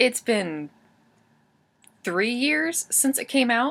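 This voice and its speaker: A woman's voice with a bright, sharp tone. The recording is very clean, with a silent background. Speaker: book reviewer. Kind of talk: casual book review to camera.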